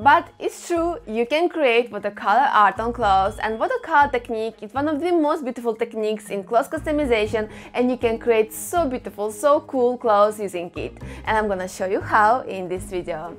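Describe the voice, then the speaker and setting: Lively intonation from a woman at a fairly quick pace, over light background noise. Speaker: craft channel host. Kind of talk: tutorial. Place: home room. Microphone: lapel.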